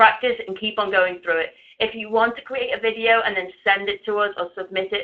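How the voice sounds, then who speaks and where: Very fast and fairly high-pitched, a woman talks with fairly even intonation. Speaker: webinar presenter. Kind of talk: webinar presentation.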